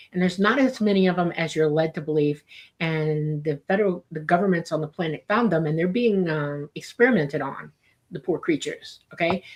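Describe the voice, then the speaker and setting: Fairly quick and with ordinary pitch variation, a woman talks in a plain, everyday voice. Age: 60s. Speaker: UFO commentator. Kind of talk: interview.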